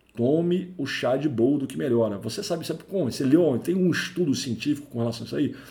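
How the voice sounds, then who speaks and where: A man talks at a very fast pace in a fairly high pitch with lively intonation. Audible room echo surrounds his voice. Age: 40s. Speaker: IT career podcaster, network engineer. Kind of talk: solo educational podcast monologue. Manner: conversational, with fillers.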